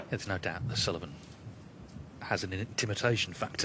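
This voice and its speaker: A man speaks with a fairly low pitch. Noticeable noise sits in the background. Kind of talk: live sports commentary. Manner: steady, fluent play-by-play.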